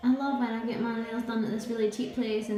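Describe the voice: Audible room echo colors a woman's medium-pitched voice, which has a dark, mellow tone and little pitch movement.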